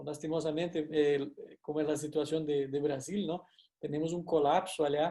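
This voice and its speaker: A man speaks with a Brazilian accent in a dark, mellow tone. His intonation is monotone and flat. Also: fairly high pitch for a man, moderate pace. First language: Portuguese (speaking Spanish). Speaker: university lecturer. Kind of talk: lecture. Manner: hesitant, frequent fillers and tag questions.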